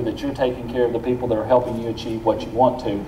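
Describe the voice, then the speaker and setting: Noticeable background noise and audible room echo surround a man's voice. His pitch is medium and his intonation monotone and flat. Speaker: university president. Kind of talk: speech at awards luncheon. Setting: luncheon audience.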